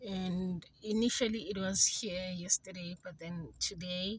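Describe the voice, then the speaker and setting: Speaking at a fairly slow pace, a woman with a medium pitch sounds somewhat breathy and uses ordinary pitch variation. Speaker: vlogger. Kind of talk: casual vlog.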